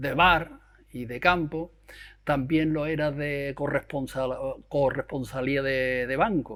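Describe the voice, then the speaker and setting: On a very clean recording with a silent background, a man speaks at a very slow pace. His pitch is fairly high and his intonation fairly even. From Andalusia, Huelva province. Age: 70s. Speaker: retired bank employee. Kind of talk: interview testimony. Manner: halting.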